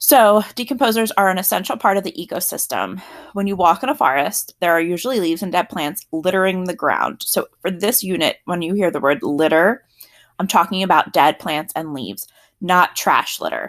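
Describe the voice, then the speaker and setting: In a very clean recording with a silent background, a woman at medium pitch speaks at a moderate pace with an American accent. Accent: South Jersey, occasional. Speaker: teacher. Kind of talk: lecture. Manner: casual, conversational.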